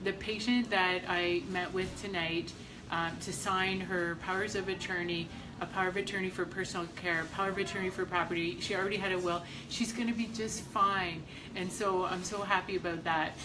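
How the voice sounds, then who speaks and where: A woman at medium pitch talks at a fairly quick pace in a monotone, flat way. Noticeable background noise and audible room echo surround her voice. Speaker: estate planning lawyer. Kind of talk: live stream talk to viewers. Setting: hospital. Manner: loud.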